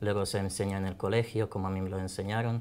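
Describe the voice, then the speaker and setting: Speaking with a Croatian accent, a man talks at a fairly quick pace in a fairly low pitch. His intonation is monotone and flat. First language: Croatian (speaking Spanish). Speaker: language teacher. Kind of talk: online class interview.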